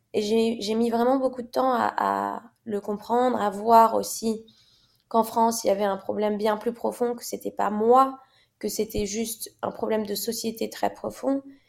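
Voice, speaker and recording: This woman's voice is fairly high in pitch. She talks at a fairly slow pace in a monotone, flat intonation. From Morocco. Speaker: fashion model. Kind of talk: interview conversation.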